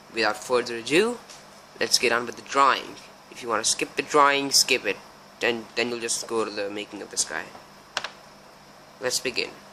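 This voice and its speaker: A man speaks at a fairly quick pace but leaves long, frequent pauses. His pitch is medium with ordinary variation, against noticeable background noise. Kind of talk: casual craft tutorial voiceover.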